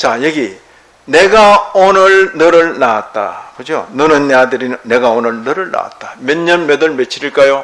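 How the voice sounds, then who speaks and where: A man with lively intonation and a fairly high pitch talks at a fairly slow pace amid noticeable background noise. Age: 70s. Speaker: pastor. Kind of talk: sermon. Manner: conversational, rhetorical questions.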